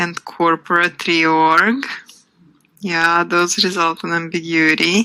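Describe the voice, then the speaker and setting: A woman's fairly low voice with a non-native accent, bright and sharp in tone, fairly even in intonation, at a very slow pace. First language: not English. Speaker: workshop instructor. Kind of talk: live webinar workshop. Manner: conversational with filler ums.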